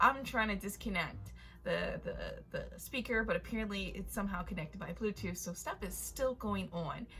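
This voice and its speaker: Noticeable background noise fills the recording. A woman speaks at a moderate pace. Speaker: storytime youtuber. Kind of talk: storytime vlog. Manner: casual, animated.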